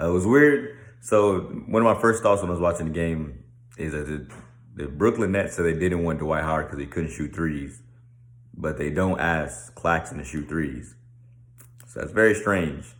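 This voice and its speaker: Amid audible room echo, a man with a very deep, low pitch and vocal fry speaks at a moderate pace. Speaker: sports commentator. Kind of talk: casual monologue.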